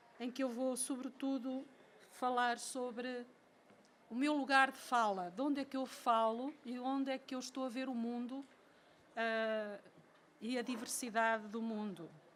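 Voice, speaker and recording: With long, frequent pauses, a woman speaks at a high pitch. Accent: European Portuguese. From Portugal. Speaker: professor. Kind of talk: lecture. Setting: lecture hall with audience. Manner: slow; reading from a text.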